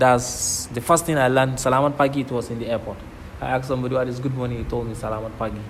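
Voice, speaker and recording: Amid noticeable background noise and audible room echo, a man speaks very fast. His medium-pitched voice stays monotone and flat. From northern Nigeria. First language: Kanuri. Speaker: PhD student. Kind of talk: interview. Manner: repetitive, conversational.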